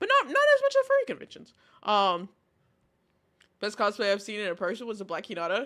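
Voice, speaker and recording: A woman speaks in a raised, projected voice with an animated tone, a bright, sharp sound and very wide pitch swings. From Texas. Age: 20s. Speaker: streamer. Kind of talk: casual chat.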